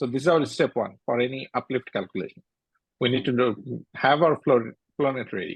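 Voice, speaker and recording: A man's plain, everyday voice at medium pitch, moderate pace and ordinary pitch variation, with a dry, close sound and no echo. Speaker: university lecturer. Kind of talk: lecture.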